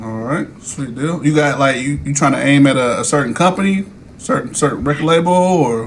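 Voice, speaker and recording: A man with an American accent, fairly high-pitched, at a fairly quick pace with ordinary pitch variation, amid noticeable background noise and audible room echo. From New Jersey. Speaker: podcast host. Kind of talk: casual chat.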